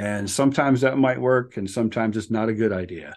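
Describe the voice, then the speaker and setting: A man has an unremarkable speaking voice at a medium pitch. He keeps a moderate pace against a quiet background. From US Upper Midwest (Minnesota/North Dakota border). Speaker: author and mindset coach, therapist in private practice. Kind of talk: casual interview.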